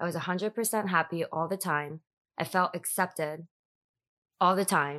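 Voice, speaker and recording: Against a quiet background, a dry, close sound with no echo carries a bright, sharp tone in an American accent, with fairly even intonation and long, frequent pauses. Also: woman, fairly low pitch for a woman, moderate pace. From US Northeast. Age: 30s. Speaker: podcast guest, high school alumna. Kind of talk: casual chat, interview. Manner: halting, filler words.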